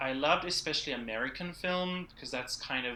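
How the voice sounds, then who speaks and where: Delivered at a moderate pace, a man's bright, sharp voice shows ordinary pitch variation. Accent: South African. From South Africa, Cape Town. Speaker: church production director and filmmaker. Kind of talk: casual interview.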